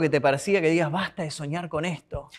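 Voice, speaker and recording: A man talks at a very fast pace in an Argentine accent. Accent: Rioplatense Argentine Spanish. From Buenos Aires conurbano, Argentina; Argentina. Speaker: podcast host. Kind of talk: casual interview. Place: studio.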